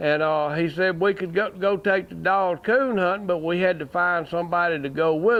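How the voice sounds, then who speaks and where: A high-pitched man talks at a moderate pace with hardly any pauses and ordinary pitch variation. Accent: Southern US. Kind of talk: storytelling to a small audience. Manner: casual, folksy.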